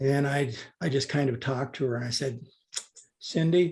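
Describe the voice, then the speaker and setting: With a somewhat breathy quality, a man speaks at a medium pitch. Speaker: doctor. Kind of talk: interview.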